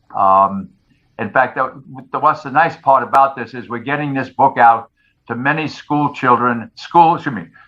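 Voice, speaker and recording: At a moderate pace, the man talks in a New York accent. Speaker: retired firefighter and author. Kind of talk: interview. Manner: halting.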